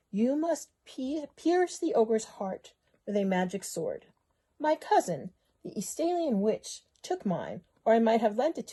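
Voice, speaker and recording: A put-on character voice, female-sounding and high-pitched, drawls along at a moderate pace. Its pitch swings very widely. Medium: read story. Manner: drawling, snappish.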